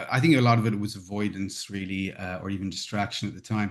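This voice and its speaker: Someone with an Irish accent speaks against a quiet background. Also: man. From Ireland. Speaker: conflict management trainer. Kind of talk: interview. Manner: halting, many repetitions and fillers.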